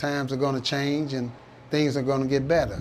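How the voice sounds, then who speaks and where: A man with an American accent, fairly high in pitch, at a fairly quick pace amid audible room echo. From US Midwest, St. Louis, Missouri. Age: 60s. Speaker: prison inmate. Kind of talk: interview testimony. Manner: halting, many fillers.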